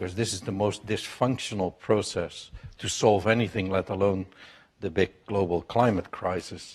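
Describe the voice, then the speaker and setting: A man with a Dutch accent speaks at a fairly low pitch and moderate pace, his intonation fairly even. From Netherlands. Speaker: business executive. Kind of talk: panel talk. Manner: loud.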